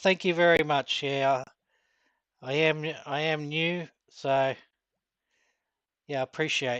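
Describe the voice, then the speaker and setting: Against a quiet background, someone with an Australian accent talks at a fairly slow pace, leaving long, frequent pauses. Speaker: gaming streamer. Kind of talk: live stream chat.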